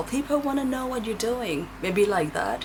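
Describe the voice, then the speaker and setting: There is noticeable background noise. A woman speaks at a moderate pace over it. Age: 40s. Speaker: tarot reader. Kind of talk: pick-a-card tarot reading. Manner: casual and chatty.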